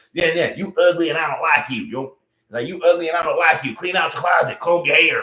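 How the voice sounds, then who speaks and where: Talking at a very fast pace, a man speaks with a Louisiana accent. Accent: US Southern, Louisiana. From Louisiana, Baton Rouge. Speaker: live streamer. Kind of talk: casual chat. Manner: halting, repeats words.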